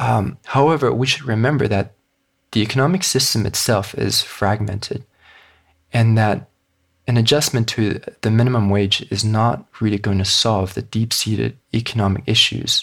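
On a very clean recording with a silent background, a man at medium pitch speaks with vocal fry. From Hong Kong. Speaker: author and economic reformer. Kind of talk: interview. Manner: halting with fillers.

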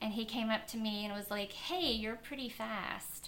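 A woman talks fairly slowly while noticeable background noise can be heard. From Kentucky. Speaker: elite marathon runner. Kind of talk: interview.

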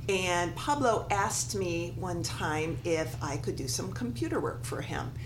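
A woman speaks at a fairly slow pace with hardly any pauses, and noticeable background noise is present. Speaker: yoga studio owner. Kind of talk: casual chat.

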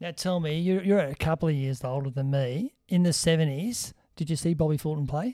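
Dark, mellow tone in an Australian accent, with ordinary pitch variation and a fairly quick pace. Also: man, fairly high pitch for a man, very clean recording, silent background. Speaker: podcast host. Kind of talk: casual chat. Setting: Facebook Live stream.

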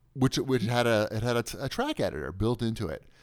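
On a very clean recording with a silent background, a man talks with a Long Island accent. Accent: New York (Long Island). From US Northeast (Long Island, New York). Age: 40s. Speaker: deals website owner and podcaster. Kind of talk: casual chat.

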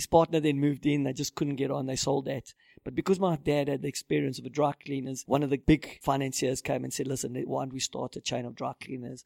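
A man talks at a very fast pace with hardly any pauses and monotone, flat intonation. His tone is dark and mellow, and the sound is dry and close with no echo. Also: fairly high pitch for a man. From South Africa, Johannesburg. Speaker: media company founder. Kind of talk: interview. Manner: halting.

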